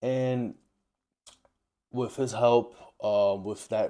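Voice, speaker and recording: This man has a New York accent, a dark, mellow tone and fairly even intonation. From New York, Dominican-American. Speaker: travel vlogger. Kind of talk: personal monologue to camera. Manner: halting, with repetitions.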